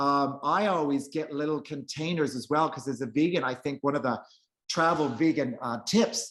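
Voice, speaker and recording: A man speaks with a fairly high pitch and fairly even intonation. It is a plain, everyday voice. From Prince Edward Island, eastern Canada. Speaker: vegan travel author. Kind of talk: casual interview chat.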